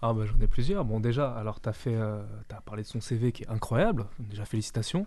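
Against a quiet background, a man speaks at a fairly quick pace in a medium pitch with a dark, mellow tone, ordinary pitch variation and big swings in loudness. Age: 20s. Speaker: radio columnist and journalist. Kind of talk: political discussion. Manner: animated.

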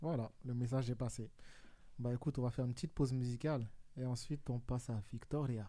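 Very fast talk from a man at a medium pitch, with a dark, mellow tone and fairly even intonation. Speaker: radio host. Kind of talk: casual radio talk show. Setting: studio. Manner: jokey, laughing often.

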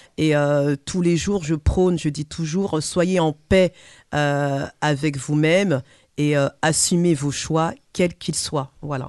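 Against a quiet background, a woman speaks very slowly in a very deep, low voice with fairly even intonation. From French Caribbean heritage. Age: 40s. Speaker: personal development coach. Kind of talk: radio panel discussion. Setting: studio.

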